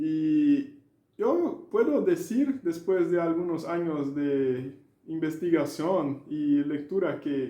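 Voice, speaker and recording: With a Brazilian accent, a man talks at a high pitch in a dark, mellow tone with lively intonation, and the room echo is audible. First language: Portuguese (speaking Spanish). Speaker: language learning educator. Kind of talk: video lecture. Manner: halting, with filler sounds.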